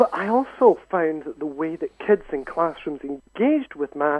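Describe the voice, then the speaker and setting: The voice carries a Scottish accent. Intonation is lively and the pace moderate. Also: man. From Scotland. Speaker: university education lecturer. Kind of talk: radio interview.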